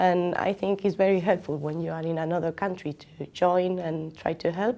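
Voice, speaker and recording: A woman speaks at a moderate pace with a non-native accent, her fairly low voice dark and mellow and her intonation fairly even. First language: not English. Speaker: student mentor. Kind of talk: interview answer.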